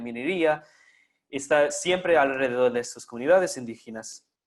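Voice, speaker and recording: A man with a non-native accent, medium in pitch, with ordinary pitch variation. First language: not Spanish (speaking Spanish). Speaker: conference speaker. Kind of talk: lecture. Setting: online live stream. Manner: halting.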